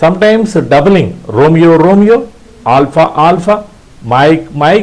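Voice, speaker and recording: With an Indian accent, a man speaks in a high pitch and ordinary pitch variation. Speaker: ham radio instructor. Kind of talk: tutorial. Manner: halting.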